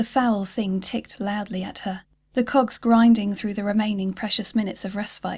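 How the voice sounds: Intonation stays fairly even as someone reads in a natural voice.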